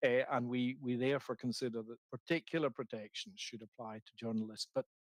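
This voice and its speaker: In a dry, close sound with no echo, a man of medium pitch talks at a fairly quick pace with ordinary pitch variation and big swings in loudness. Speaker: legal expert presenting a report. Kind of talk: hearing presentation. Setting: committee hearing. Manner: halting, with many repetitions.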